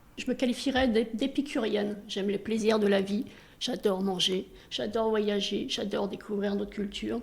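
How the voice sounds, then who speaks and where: A woman's fairly high voice with vocal fry, at a moderate pace and with fairly even intonation. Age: 40s. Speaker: interviewee with chronic illness. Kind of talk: testimony. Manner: hesitant; reserved at first.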